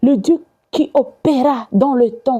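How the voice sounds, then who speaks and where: A woman with a high-pitched voice and a dark, mellow tone speaks at a very slow pace. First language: not French (speaking French). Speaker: evangelist. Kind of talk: sermon. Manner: halting.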